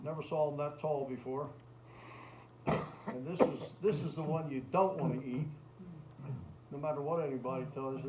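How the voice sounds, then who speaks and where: A man speaks at a moderate pace in a fairly high pitch with fairly even intonation. There is noticeable background noise. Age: 70s. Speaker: hiker. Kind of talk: public presentation. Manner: casual, conversational.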